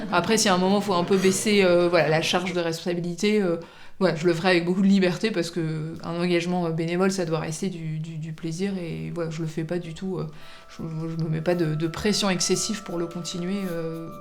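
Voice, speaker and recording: A woman at a fairly quick pace, monotone and flat in intonation, with noticeable background noise and audible room echo. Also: fairly low pitch for a woman. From Paris, France. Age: 30s. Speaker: general practitioner and volunteer. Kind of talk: documentary interview. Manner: halting, many hesitations.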